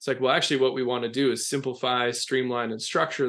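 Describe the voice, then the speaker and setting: This man speaks at a medium pitch with a slight Minnesota accent. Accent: slight Minnesota accent, long O sounds. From US Midwest, west central Minnesota. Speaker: leadership consultant. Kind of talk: interview.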